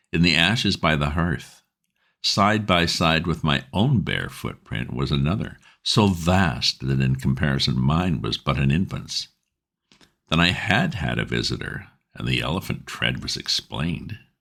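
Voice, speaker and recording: A man's very deep, low voice with vocal fry, fairly slow and with lively intonation. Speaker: audiobook narrator. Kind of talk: ghost story reading.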